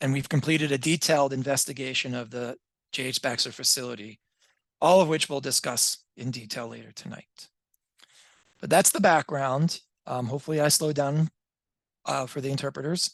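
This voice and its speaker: A man with a fairly high pitch talks at a fairly quick pace, leaving long, frequent pauses and making big swings in loudness. His pitch variation is ordinary, and the background is quiet. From New York City. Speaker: EPA on-scene coordinator. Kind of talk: public meeting presentation. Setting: video call. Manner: fast.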